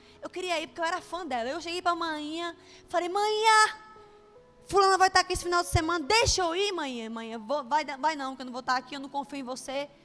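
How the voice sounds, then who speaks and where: Her voice high in pitch, a woman speaks in an animated tone with lively intonation at a fairly quick pace. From Brazil, Bahia (Juazeiro). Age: 30s. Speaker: preacher. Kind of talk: sermon with personal testimony.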